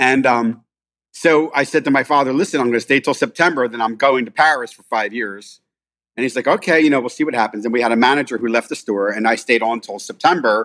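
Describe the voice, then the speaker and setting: A man with a Philadelphia accent talks very fast at a medium pitch with ordinary variation, in a very clean recording with a silent background. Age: 50s. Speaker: restaurant owner. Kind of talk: casual chat.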